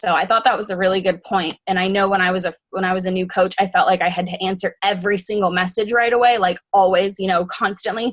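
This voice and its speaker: Fairly quickly, a woman speaks at a medium pitch with fairly even intonation. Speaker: team leader of fitness coaches. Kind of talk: team call briefing. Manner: fast.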